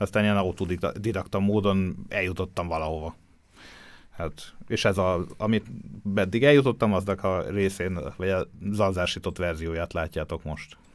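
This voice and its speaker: This very clean recording, with a silent background, carries speech at a moderate pace. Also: man, very deep, low pitch for a man, ordinary pitch variation. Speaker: photographer. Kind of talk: casual chat. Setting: studio.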